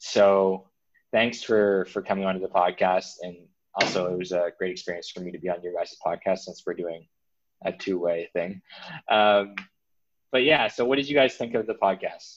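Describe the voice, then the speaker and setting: With a Canadian accent, a man speaks at a fairly low pitch with ordinary pitch variation. His loudness swings widely. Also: moderate pace. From Canada, New Brunswick. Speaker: physiotherapy student. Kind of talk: casual interview chat. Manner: halting, many fillers and repeats.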